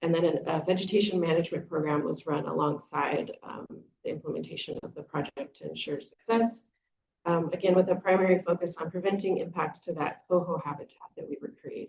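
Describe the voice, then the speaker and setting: Somewhat breathy and fairly low in pitch, a woman talks at a fairly quick pace with fairly even intonation and big swings in loudness. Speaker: conference presenter, restoration scientist. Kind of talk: conference talk. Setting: conference session. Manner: many filler words.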